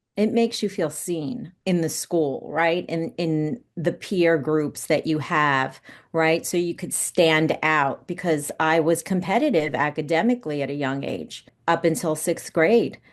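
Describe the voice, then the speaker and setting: A woman with a plain, everyday voice and an American accent, fairly low in pitch, with ordinary pitch variation, at a fairly slow pace against a quiet background. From New York, Westchester County. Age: 50s. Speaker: actress and producer. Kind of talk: podcast interview.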